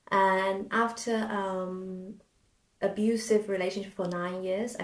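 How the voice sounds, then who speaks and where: In a Chinese accent, a woman speaks at a medium pitch in a flat monotone, at a fairly slow pace. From China. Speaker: podcast co-host, concert pianist. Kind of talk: casual interview chat.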